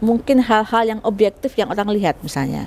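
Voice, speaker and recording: Very clean recording with a silent background: a woman, fairly high-pitched and fairly quick, with a plain, everyday voice. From Central Java (Solo). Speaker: sociology lecturer, faculty vice dean. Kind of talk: interview, academic explanation. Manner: conversational, with frequent fillers.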